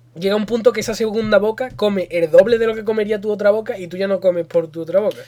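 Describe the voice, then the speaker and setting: Over noticeable background noise, the talk runs at a very fast pace with hardly any pauses. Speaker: podcast co-host. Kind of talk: casual chat. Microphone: quiet unless close to mic.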